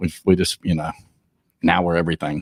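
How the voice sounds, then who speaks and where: A man in a Southern US accent talks at a very fast pace, the sound dry and close with no echo. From US South, Georgia. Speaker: personal brand consultant. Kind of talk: podcast interview. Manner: halting, many fillers.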